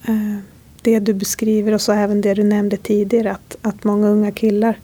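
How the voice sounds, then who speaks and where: At a moderate pace, a woman is speaking. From Sápmi, Sámi. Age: 30s. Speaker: podcast host. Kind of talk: interview; scripted intro. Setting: hotel room.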